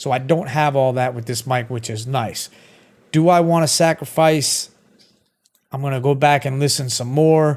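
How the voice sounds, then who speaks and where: With a Brooklyn accent, a man talks at a moderate pace. His pitch is fairly high. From Brooklyn, New York. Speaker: streamer reviewing microphones. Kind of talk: casual product review to camera. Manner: conversational, filler-heavy.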